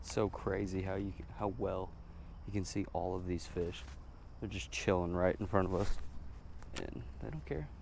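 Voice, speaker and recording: The voice carries vocal fry and ordinary pitch variation. Long, frequent pauses occur, and room echo is audible. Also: man, very deep, low pitch for a man, moderate pace. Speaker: outdoor vlogger. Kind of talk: casual vlog narration. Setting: outdoors by water, fishing.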